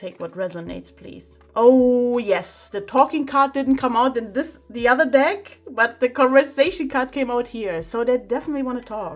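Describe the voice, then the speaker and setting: A woman with a non-native accent speaks in a high voice with lively intonation at a moderate pace. She hardly pauses, and her loudness swings widely. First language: not English. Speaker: tarot reader. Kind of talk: tarot reading.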